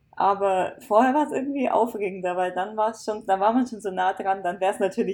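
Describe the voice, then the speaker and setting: A woman with a normal speaking voice speaks at a medium pitch. She goes at a fairly quick pace with fairly even intonation. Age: 20s. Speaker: author. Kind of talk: casual chat.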